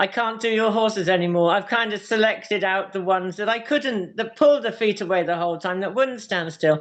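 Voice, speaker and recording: Speaking at a fairly quick pace with hardly any pauses, a woman uses a medium pitch with ordinary variation. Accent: British. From UK. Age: 60s. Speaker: hoof care practitioner. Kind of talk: interview.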